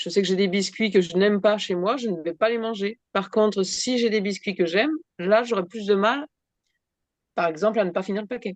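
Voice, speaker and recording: This woman's voice sits at a medium pitch, moving at a moderate pace with ordinary pitch variation. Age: 60s. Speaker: workshop participant. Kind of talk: casual chat. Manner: halting.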